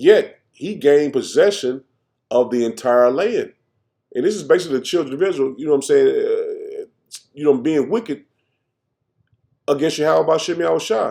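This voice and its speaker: A man talks at a moderate pace. He pauses often and at length. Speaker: religious teacher. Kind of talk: bible teaching.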